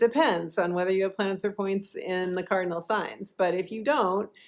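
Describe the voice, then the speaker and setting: Speaking at a moderate pace, a woman uses an ordinary speaking voice with medium pitch and fairly even intonation. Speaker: intuitive astrologer and life coach. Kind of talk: astrology forecast with card reading.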